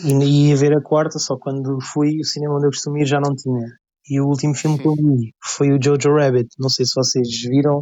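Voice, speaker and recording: This man's voice is fairly high in pitch. His intonation is flat and monotone. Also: moderate pace. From Portugal, Lisbon. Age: 20s. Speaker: photographer. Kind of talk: casual chat.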